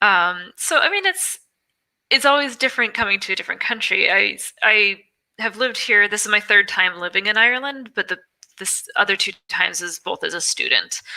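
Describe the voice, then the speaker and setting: Fairly high in pitch, a woman's bright, sharp voice moves at a fairly quick pace with ordinary pitch variation. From Wyoming, US. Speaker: podcast guest, expat in Ireland. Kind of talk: casual interview chat.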